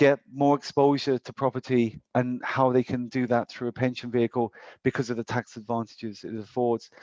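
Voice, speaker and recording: With a British accent, a man speaks at a medium pitch and a fairly quick pace in a monotone, flat intonation. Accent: British accent noticeable in Ireland. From UK. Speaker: financial advisor. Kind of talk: presentation with slides. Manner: hesitant, many fillers.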